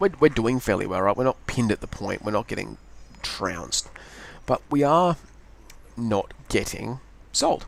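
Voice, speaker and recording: Lively intonation from a man at medium pitch with an Australian accent, marked by long, frequent pauses. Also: moderate pace. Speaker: gaming video creator. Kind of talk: gameplay commentary. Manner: rambling, hesitant with self-corrections.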